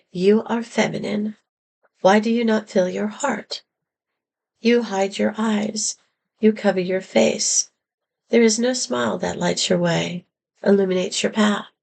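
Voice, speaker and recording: A woman speaks in a raspy, put-on character voice at medium pitch with fairly even intonation. Her moderate pace is broken by long, frequent pauses. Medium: read story.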